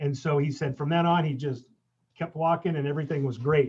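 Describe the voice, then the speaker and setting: A man speaks at a moderate pace. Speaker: pilgrim. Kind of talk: casual chat.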